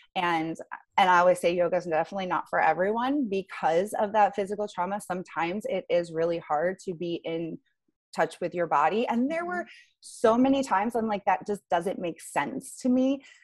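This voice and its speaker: The recording is very clean, with a silent background. A woman speaks fairly quickly at a medium pitch, with ordinary pitch variation. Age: 30s. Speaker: gym owner and fitness coach. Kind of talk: casual interview. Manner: halting, many fillers.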